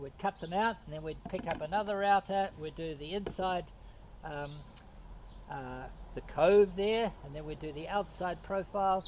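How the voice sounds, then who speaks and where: This man speaks at a high pitch with a New Zealand accent, his loudness swinging widely. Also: ordinary pitch variation, moderate pace. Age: 70s. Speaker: woodworker. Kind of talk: tutorial. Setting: outdoors. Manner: halting, many fillers.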